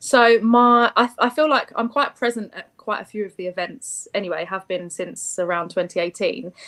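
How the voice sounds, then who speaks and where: Speaking at a moderate pace with hardly any pauses, a fairly high-pitched woman shows big swings in loudness and ordinary pitch variation. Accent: London. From East London. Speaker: contest contestant. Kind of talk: interview.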